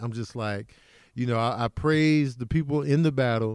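A man with an American accent has a plain, everyday voice and a medium pitch, speaking at a moderate pace with ordinary pitch variation. The recording is very clean, with a silent background. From Chicago. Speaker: comedian. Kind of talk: casual chat.

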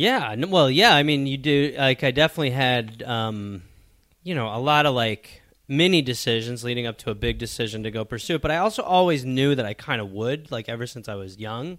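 In a normal speaking voice, a man talks at a fairly quick pace, medium in pitch with ordinary pitch variation. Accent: American. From Milwaukee, Wisconsin. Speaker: comedy writer. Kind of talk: casual chat.

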